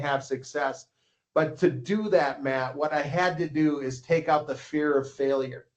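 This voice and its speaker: A man speaks in a normal speaking voice with a fairly high pitch. His intonation is fairly even. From Minnesota, US. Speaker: ski coach and publisher. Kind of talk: casual interview.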